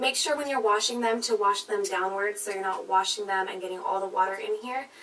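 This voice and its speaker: Noticeable background noise is present as a woman speaks at a fairly quick pace. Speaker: beauty vlogger. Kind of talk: product review. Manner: fast; animated.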